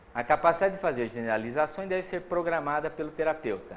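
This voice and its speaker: This man speaks. His pace is fairly quick. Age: old. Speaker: psychology professor. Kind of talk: lecture.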